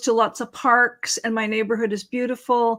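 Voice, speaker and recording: A woman speaks at a moderate pace in a West Coast US accent. The recording is very clean, with a silent background. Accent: General American (West Coast). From California. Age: 60s. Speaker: author and interviewee. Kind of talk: casual interview chat.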